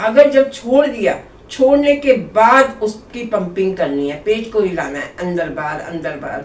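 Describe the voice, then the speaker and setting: Noticeable background noise sits behind a woman speaking at a medium pitch. Her pitch swings very widely. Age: 60s. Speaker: yoga teacher. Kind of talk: tutorial. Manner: conversational.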